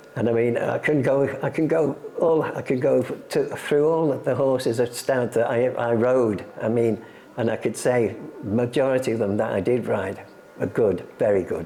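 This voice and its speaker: With an English accent, a man talks at a moderate pace and medium pitch, using ordinary pitch variation, while noticeable background noise runs underneath. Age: 80s+. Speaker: retired jockey and horse racing museum guide. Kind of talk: interview.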